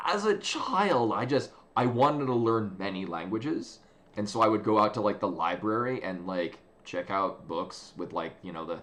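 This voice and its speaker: A man speaks with a strong American accent. His pitch is fairly low for a man. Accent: American accent (in Japan; he calls it thick). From United States. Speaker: video game streamer. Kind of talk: casual chat. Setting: live stream. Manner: halting, many fillers and restarts.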